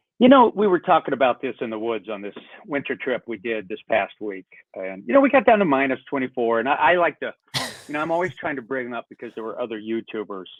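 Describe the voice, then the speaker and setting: An American-accented man talks at a very fast pace with lively intonation and big swings in loudness. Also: medium pitch for a man. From US South, North Carolina. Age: 60s. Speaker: backpacking YouTuber. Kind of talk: casual chat.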